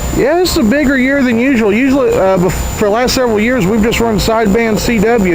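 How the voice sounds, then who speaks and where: A man at high pitch and a fairly quick pace with ordinary pitch variation, over noticeable background noise and audible room echo. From Louisville, Kentucky. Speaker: ham radio club member interviewer. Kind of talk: casual interview.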